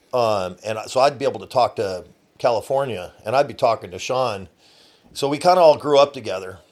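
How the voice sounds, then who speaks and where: Over a very clean, silent background, a man in an unremarkable speaking voice talks at a fairly quick pace and medium pitch, with lively intonation and big swings in loudness. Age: 50s. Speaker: boat towing business owner. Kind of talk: casual interview. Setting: studio.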